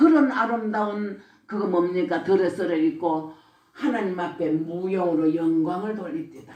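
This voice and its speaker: A woman with a Gyeongsang accent speaks at a medium pitch and a fairly slow pace. Her intonation is lively, and the room echo is audible. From Gyeongsang region, South Korea. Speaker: church deaconess giving testimony. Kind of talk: religious testimony. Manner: blunt, rough-spoken.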